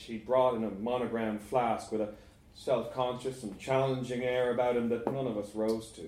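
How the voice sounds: The clip is in a natural reading voice with fairly even intonation.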